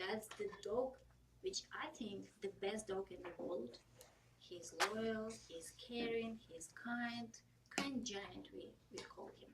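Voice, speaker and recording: A somewhat breathy woman with a Russian accent and fairly high pitch, speaking at a very slow pace. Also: ordinary pitch variation, big swings in loudness. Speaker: public speaking club member. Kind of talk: prepared speech.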